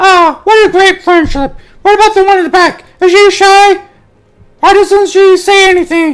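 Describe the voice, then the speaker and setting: This is a put-on character voice, squeaky and extremely high. It moves at a moderate pace. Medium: read story. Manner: chatty, casual.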